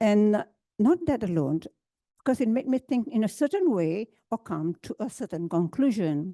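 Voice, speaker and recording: A woman with a fairly high pitch and a dark, mellow tone speaks at a moderate pace with very wide pitch swings, the sound dry and close with no echo. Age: 70s. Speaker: senior centre volunteer, programme participant. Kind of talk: personal testimony at a public talk. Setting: auditorium with audience. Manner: halting.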